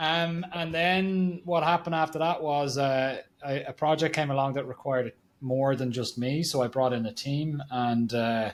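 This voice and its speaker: A man speaks with an Irish accent. His pitch varies in an ordinary way. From Ireland. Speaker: marketing agency founder. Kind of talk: podcast interview.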